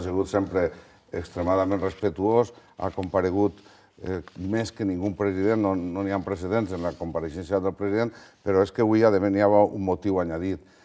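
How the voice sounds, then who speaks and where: With a very deep, low pitch and a dark, mellow tone, a man speaks at a moderate pace in a monotone, flat way. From Valencia region, Spain. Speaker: regional politician. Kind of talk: televised political debate. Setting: TV studio. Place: studio. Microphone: lapel.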